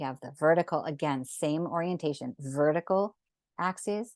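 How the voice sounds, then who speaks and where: A woman with an unremarkable speaking voice talks at a moderate pace with ordinary pitch variation, recorded dry and close with no echo against a quiet background. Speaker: sacred geometry drawing teacher. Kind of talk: online class tutorial.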